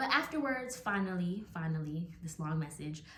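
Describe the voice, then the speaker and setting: A woman's voice carries audible room echo as she talks at a moderate speed. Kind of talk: devotional talk to camera.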